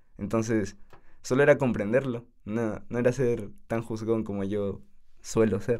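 A man speaks at a fairly slow pace in a medium pitch, with fairly even intonation and a plain, everyday voice. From Peru, Tacna. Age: 20s. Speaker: university student. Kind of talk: casual interview.

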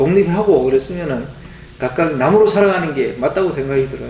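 Light background noise along with audible room echo. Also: man. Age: 40s. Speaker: YouTuber; channel host. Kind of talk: monologue to camera. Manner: halting, many fillers. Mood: reflective, lightly joking. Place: home room.

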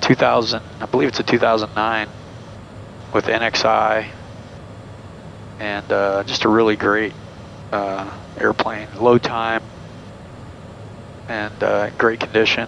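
A man speaks at a fairly low pitch in a flat monotone, at a fairly slow pace with long, frequent pauses, the sound dry with no echo and light noise in the background. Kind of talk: casual commentary. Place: plane. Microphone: headset.

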